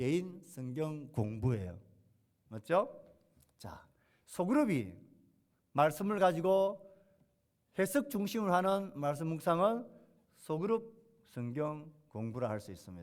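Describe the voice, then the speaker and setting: A fairly high-voiced man speaks at a very slow pace, with long, frequent pauses. His pitch swings very widely. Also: big swings in loudness. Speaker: pastor. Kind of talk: sermon.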